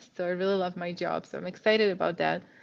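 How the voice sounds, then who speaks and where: The woman's voice sits at a medium pitch. Her intonation is monotone and flat. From Czech Republic. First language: Czech. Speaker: immigrant sharing career story. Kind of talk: podcast interview.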